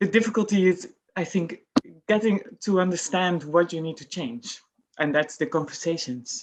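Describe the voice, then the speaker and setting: With a Dutch accent, a woman talks in a fairly low pitch, her intonation lively and her loudness swinging widely. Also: moderate pace. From Netherlands. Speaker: employer. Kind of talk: panel discussion.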